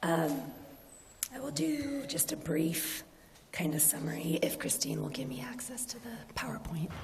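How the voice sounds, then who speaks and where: A woman speaks at a moderate pace in a very deep, low voice with very wide pitch swings and long, frequent pauses. Audible room echo and noticeable background noise surround her. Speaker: city planning staff. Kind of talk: staff presentation at council meeting.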